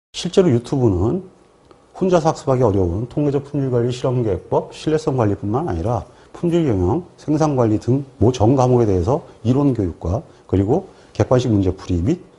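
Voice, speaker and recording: At a moderate pace, a man with a medium-pitched, dark, mellow voice speaks somewhat breathily, his pitch swinging very widely. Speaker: exam prep instructor. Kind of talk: lecture. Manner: formal.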